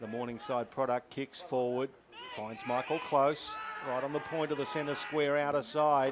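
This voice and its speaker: A man's fairly high voice in an Australian accent, at a moderate pace with fairly even intonation, over noticeable background noise. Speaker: football commentator. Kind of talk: live commentary. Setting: commentary box at ground.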